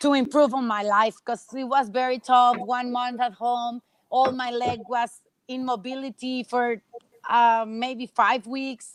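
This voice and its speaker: A woman speaks at a fairly slow pace in a Spanish accent, her pitch high. Her intonation is monotone and flat, and the sound is dry and close with no echo. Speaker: professional racquetball player. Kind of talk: interview. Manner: halting.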